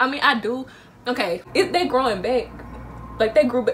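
The voice has an animated tone and a moderate pace. Light background noise can be heard. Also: woman. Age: 19. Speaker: vlogger. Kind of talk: casual talk to camera. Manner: chatty, animated. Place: home room. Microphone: phone near.

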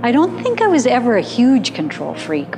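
A woman's voice over clear background music. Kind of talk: documentary monologue. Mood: reflective, candid. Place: home room.

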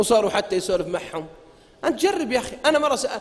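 A man is speaking. His tone is animated. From Saudi Arabia. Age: 40s. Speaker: preacher; religious lecturer. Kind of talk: lecture. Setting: stage with audience. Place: hall. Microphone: podium.

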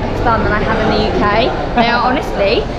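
A woman speaking at a very fast pace over loud background noise. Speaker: travel vlogger. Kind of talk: casual vlog chat. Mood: cheerful, laughing. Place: hall. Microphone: phone near.

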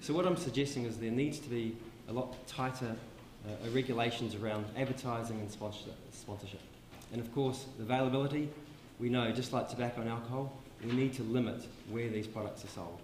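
In a New Zealand accent, a man with a medium pitch talks at a fairly quick pace and fairly even intonation, with audible room echo and light background noise. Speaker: public health dentist; presenter. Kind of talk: conference talk. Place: hall. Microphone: handheld.

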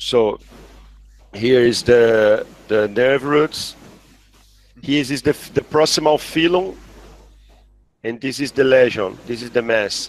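A man's medium-pitched voice with a Portuguese accent, very slow with long, frequent pauses, ordinary pitch variation, and a dry sound with no echo. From Brazil. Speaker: neurosurgeon; guest. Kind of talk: case discussion; interview answer. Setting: video call. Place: home room. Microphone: headset.

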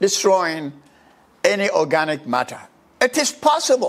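The speaker goes at a fairly slow pace with very wide pitch swings. The background is quiet. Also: man. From Ghana. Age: 80s+. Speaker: social commentator. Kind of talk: monologue. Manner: animated. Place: home room. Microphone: lapel.

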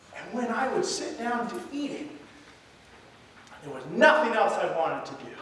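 A man with a high pitch and a fairly bright tone speaks at a moderate pace. His pitch swings widely, and strong room echo fills the recording.

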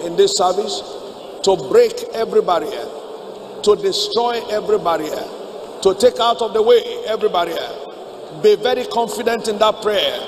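A man at a moderate pace with long, frequent pauses over light background noise. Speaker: preacher. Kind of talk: sermon. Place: church. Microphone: podium.

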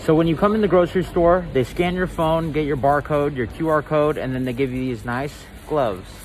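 A man with a fairly high voice speaks at a moderate pace, with ordinary pitch variation over faint background noise.

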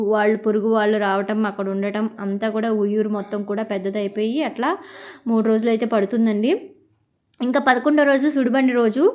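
A woman with a normal speaking voice talks at a fairly high pitch and fairly even intonation. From Andhra Pradesh, Krishna district (Vuyyuru). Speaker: vlogger. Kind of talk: travel vlog narration. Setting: outdoors at a crowded temple fair. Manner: casual, conversational.

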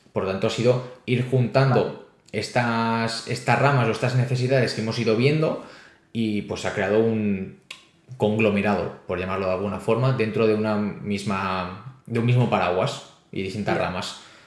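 Against audible room echo, a man speaks at a medium pitch and moderate pace with fairly even intonation. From Spain, Barcelona; Catalonia, Spain. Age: 20s. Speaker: crypto youtuber and startup founder; crypto youtuber. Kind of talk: interview. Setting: video call. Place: home room. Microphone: webcam.

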